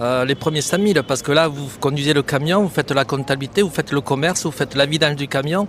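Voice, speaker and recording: A man speaks at a very fast pace with hardly any pauses. His pitch is fairly high, with ordinary variation. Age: 60s. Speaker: trucking company founder. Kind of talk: street interview. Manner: hesitant, frequent fillers.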